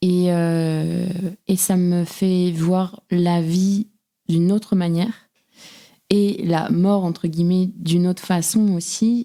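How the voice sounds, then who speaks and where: Speaking very slowly, a woman keeps her loudness very even and her intonation monotone and flat. Her fairly low voice has a dark, mellow tone. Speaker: podcast host. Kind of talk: casual conversation.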